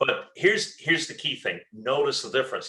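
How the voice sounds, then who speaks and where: Speaking with an Irish accent, a man talks. His pace is fairly quick. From Ireland. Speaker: leadership speaker and trainer. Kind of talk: webinar presentation. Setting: online webinar. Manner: hesitant with fillers and repetitions.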